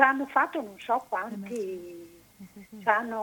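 Very slowly, a woman speaks in a raised, projected voice. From Italy, Padua. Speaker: caller. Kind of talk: phone-in opinion.

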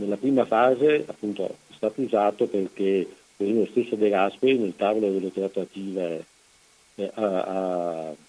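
This man has a fairly low voice with a dark, mellow tone. He talks at a moderate pace. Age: 70s. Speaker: son of a fallen soldier, association president. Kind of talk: interview, personal testimony. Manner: halting, many fillers.

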